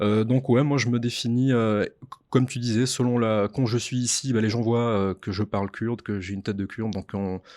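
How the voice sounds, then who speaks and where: A medium-pitched man at a moderate pace with fairly even intonation, against a quiet background. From France. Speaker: podcast co-host. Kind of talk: conversational podcast discussion. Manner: hesitant, many fillers.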